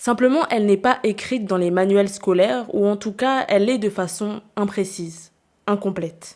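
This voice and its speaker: A woman's normal speaking voice at a medium pitch and moderate pace, with ordinary pitch variation, in a very clean recording with a silent background. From New Caledonia (Nouméa). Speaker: podcast host. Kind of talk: scripted narration.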